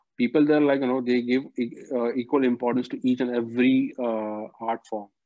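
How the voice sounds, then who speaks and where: Recorded dry with no echo and a quiet background, a man speaks at a fairly quick pace. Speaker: dance teacher guest. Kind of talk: interview answer. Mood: earnest, mildly frustrated. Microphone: video call.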